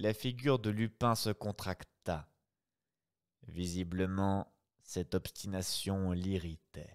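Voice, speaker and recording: A man talks at a very slow pace with long, frequent pauses, his voice very deep and low. His intonation is fairly even, and the background is quiet. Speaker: streamer reading classic novels aloud. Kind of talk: reading aloud; casual chat. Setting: live stream. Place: home room. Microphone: studio mic.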